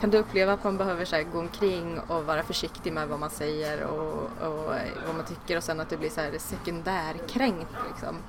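Over noticeable background noise and audible room echo, a woman with a fairly low voice speaks at a moderate pace with hardly any pauses and ordinary pitch variation. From Sweden. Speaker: podcast host. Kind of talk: interview.

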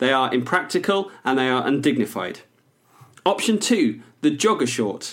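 A man speaks with a fairly high pitch and very wide swings in it. The recording is very clean, with a silent background. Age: 30s. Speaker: podcast co-host and writer. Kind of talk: casual comedic banter.

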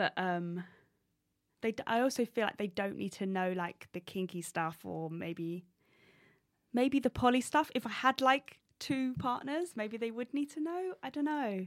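With an English accent, a woman speaks at a fairly slow pace and fairly high pitch, her pitch swinging very widely in a dry, close sound with no echo. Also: very clean recording, silent background. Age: 30s. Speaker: stand-up comedian. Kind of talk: casual interview. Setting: studio.

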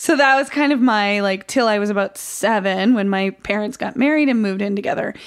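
A fairly quick pace with ordinary pitch variation and hardly any pauses. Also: woman, fairly high pitch for a woman. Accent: American. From upstate New York (Oswego). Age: 40s. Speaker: stand-up comedian. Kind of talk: casual interview chat. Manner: energetic, animated.

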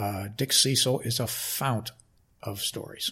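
Speaking with an American accent, a man uses a somewhat breathy, medium-pitched voice with fairly even intonation. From Connecticut. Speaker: sports public relations executive. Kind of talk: interview. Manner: halting.

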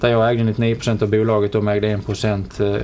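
A man speaks in a fairly low voice. Noticeable background noise can be heard. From southern Sweden (Skåne, Helsingborg). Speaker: media company chief executive. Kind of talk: interview. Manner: halting, many repetitions and fillers.

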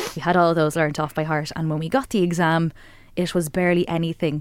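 Talking at a very fast pace with an Irish accent, a woman uses a fairly low pitch and fairly even intonation. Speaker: radio host. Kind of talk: radio interview. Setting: radio studio.

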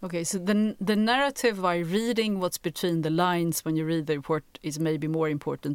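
The recording is very clean with a silent background, and the speaker moves at a fairly quick pace with ordinary pitch variation. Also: woman. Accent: Swedish. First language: Swedish. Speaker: podcast co-host. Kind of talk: interview.

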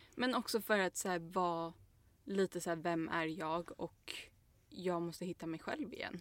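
In a very clean recording with a silent background, a woman with a fairly low pitch speaks at a moderate pace in an ordinary speaking voice, with ordinary pitch variation. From Stockholm, Sweden. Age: 20s. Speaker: podcast co-host. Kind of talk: casual chat.

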